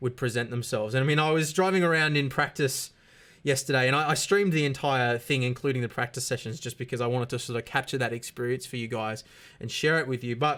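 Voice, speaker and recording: The recording is very clean, with a silent background. A man speaks at a very fast pace. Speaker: sim racing YouTuber. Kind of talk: unscripted talk to camera. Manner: fast at times; halting, many fillers and repeats.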